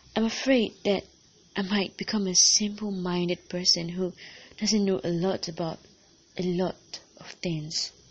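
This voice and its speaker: Speaking at a fairly slow pace, a woman with a medium-pitched voice has an intense tone and fairly even intonation. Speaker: podcast host and poet. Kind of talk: performed spoken-word poem, confessional and earnest. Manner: intense, immersed in the mood.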